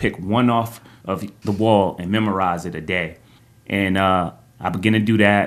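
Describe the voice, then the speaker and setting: A normal speaking voice, with an American accent. It moves at a moderate pace with fairly even intonation. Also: man, fairly low pitch for a man. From New Jersey, East Orange. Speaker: preacher and photographer. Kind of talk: testimony.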